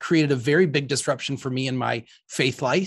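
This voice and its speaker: Here is an ordinary speaking voice with ordinary pitch variation. It moves at a moderate pace against a quiet background. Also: man. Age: 40s. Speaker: priest and podcast host. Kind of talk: casual interview.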